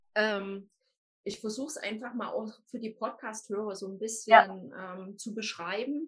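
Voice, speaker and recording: A woman with a fairly high, somewhat breathy voice talks fairly slowly, her intonation fairly even while her loudness swings widely. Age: 40s. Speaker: life coach. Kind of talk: interview.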